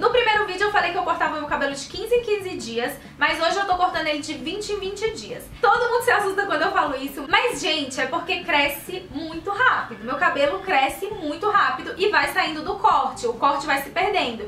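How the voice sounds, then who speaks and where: A woman speaks in an extremely high, raised, projected voice with hardly any pauses. Audible room echo and light background noise are present. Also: lively intonation, moderate pace. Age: 20s. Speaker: beauty vlogger. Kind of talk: casual Q&A vlog. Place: home room.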